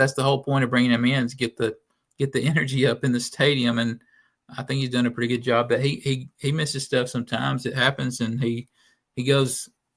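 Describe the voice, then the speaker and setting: A man with a Southern US accent talks at a very fast pace. His medium-pitched voice is monotone and flat. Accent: noticeable Southern. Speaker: sports writer. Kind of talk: casual chat.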